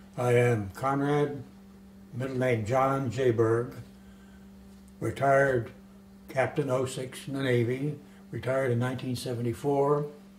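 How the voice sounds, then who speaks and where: A man with an American accent speaks at a fairly slow pace, with long, frequent pauses, fairly even intonation and audible room echo. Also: medium pitch for a man. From US South, Florida (West Palm Beach). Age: 80s+. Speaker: retired naval aviator. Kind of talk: interview. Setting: filmed documentary interview.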